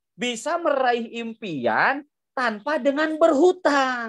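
An extremely high-pitched man speaks in an animated tone over a quiet background. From Indonesia, Bandung; Indonesia. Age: 30s. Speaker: business seminar presenter; presenter. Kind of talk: sales pitch. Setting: video call. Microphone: video call.

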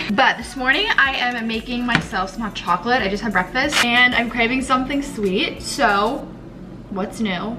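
With music in the background, a woman talks at a fairly quick pace, using ordinary pitch variation. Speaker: vlogger. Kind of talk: casual vlog chat. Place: kitchen. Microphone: phone near.

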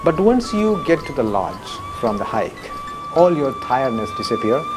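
Clear music sits in the background while a man speaks at a moderate pace. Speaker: local tour guide. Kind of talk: interview answer. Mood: warm, appreciative.

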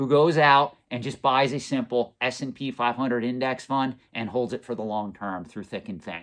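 A man's voice at a moderate pace, with ordinary pitch variation, over a quiet background. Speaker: collectibles finance channel host. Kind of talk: commentary. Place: office.

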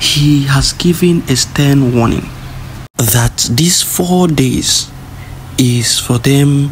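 With music playing behind him, a man speaks at a medium pitch with ordinary pitch variation. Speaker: separatist news commentator. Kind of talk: rally speech. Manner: urgent, preachy, admonishing; emphatic, repetitive, rallying-cry cadence.

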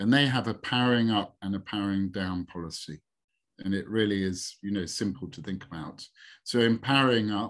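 A man's normal speaking voice, fairly low in pitch and fairly quick, over a quiet background. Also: ordinary pitch variation. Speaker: webinar presenter. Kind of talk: webinar presentation. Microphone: video call.

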